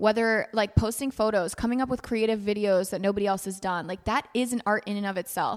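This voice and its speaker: A woman's medium-pitched voice at a fairly quick pace, with hardly any pauses. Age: 20s. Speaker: podcast co-host. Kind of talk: casual chat. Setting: office. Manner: animated.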